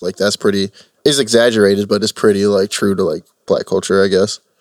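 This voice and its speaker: A man speaks at a very fast pace, the sound dry and close with no echo. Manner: joking, laid-back.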